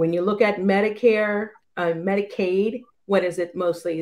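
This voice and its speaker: A woman speaks at a moderate speed, with a quiet background behind her. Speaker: naturopathic doctor; panelist. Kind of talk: live panel discussion. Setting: video call. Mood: earnest, passionate. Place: home room. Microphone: video call.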